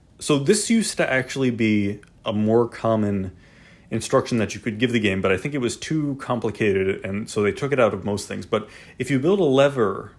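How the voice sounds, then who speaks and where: A man's medium-pitched voice at a fairly quick pace, with ordinary pitch variation, on a very clean recording with a silent background. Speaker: video game tutorial host. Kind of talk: tutorial. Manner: fast; casual, filler-heavy.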